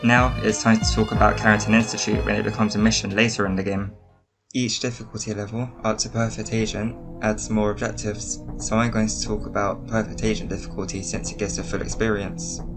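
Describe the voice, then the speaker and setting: A man at a very fast pace over music in the background. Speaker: game design video essayist. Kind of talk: video essay narration.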